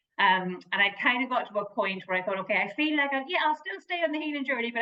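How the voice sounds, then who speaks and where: Her intonation lively, a woman talks with a strong Irish accent. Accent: Irish lilt, kept strong. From Ireland. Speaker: motivational speaker and therapist. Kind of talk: interview.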